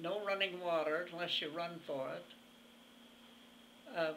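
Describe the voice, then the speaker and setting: A woman talks at a fairly low pitch in a flat monotone. The room echo is audible. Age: 80s+. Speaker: centenarian interviewee. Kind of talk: interview. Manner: halting.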